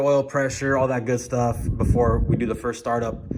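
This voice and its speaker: A man of medium pitch with noticeable background noise. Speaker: car enthusiast vlogger. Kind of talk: casual vlog. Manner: shaky; halting.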